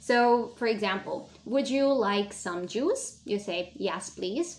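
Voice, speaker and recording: Speaking at a fairly slow pace, a woman makes very wide pitch swings. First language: not English. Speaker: language teacher. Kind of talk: lesson.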